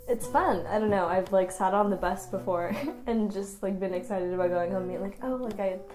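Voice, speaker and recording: Amid noticeable background noise and audible room echo, a woman speaks fairly quickly at a medium pitch with ordinary pitch variation. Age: 20s. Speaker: art student. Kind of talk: casual talk to camera. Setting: at home in her studio space at night.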